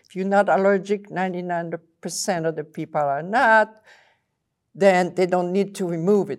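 A woman speaks at a medium pitch with ordinary pitch variation and a French accent, in a very clean recording with a silent background. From Belgium. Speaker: water chemist. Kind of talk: casual interview.

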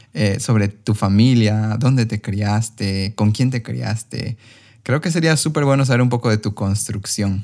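In a very clean recording with a silent background, a man with an ordinary speaking voice talks at a fairly slow pace and fairly low pitch with ordinary pitch variation. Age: 30s. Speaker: podcast host and coach. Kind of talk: podcast interview.

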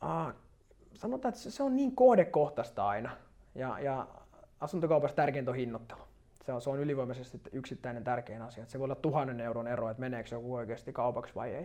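A man at a medium pitch, very fast, with a dark, mellow tone, big swings in loudness and ordinary pitch variation. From Finland, Turku archipelago. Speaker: real estate agent. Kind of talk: interview.

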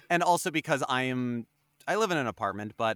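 Using an ordinary speaking voice, a man talks at a fairly quick pace with medium pitch and lively intonation in a dry, close sound with no echo. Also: very clean recording, silent background. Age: 30s. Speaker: voice actor. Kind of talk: casual chat.

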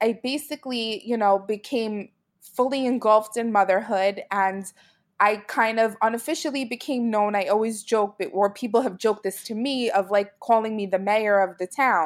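A woman with an American accent speaks at a moderate pace with fairly even intonation in a plain, everyday voice, captured in a very clean recording with a silent background. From Brooklyn, New York. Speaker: mommy blogger. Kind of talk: interview.

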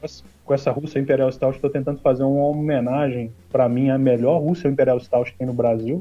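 A man talks at a fairly quick pace with fairly even intonation and medium pitch. His is an unremarkable speaking voice. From Minas Gerais, Brazil. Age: 40s. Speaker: homebrewer and beer YouTuber. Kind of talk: casual chat.

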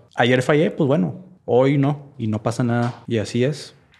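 A man speaks at a fairly slow pace. He has a plain, everyday voice. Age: 30s. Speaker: podcast guest, churchgoer. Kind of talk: casual chat.

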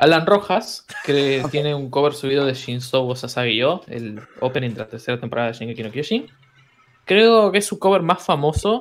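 With an Argentine accent, a man speaks at a fairly high pitch with very wide pitch swings. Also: moderate pace. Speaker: musician. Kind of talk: casual chat.

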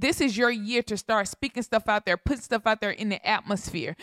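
An animated tone with ordinary pitch variation, a dry, close sound with no echo and a very clean recording with a silent background. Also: woman. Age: 30s. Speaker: podcast host. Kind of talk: casual chat.

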